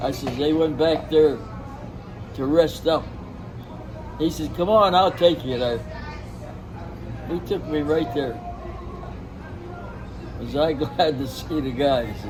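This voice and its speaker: A man with an American accent talks at a very slow pace, with long, frequent pauses. His pitch is fairly high, and crowd noise fills the background. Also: ordinary pitch variation. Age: 80s+. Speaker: war veteran. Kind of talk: interview answer.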